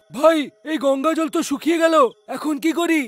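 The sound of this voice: Using a cartoonish character voice, a man speaks at a moderate pace with music in the background.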